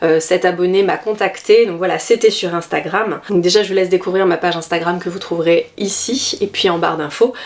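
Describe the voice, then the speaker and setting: Fairly quick talk from a woman, with noticeable background noise. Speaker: dance vlogger, amateur ballet dancer. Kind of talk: casual vlog tutorial. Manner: hesitant, many fillers.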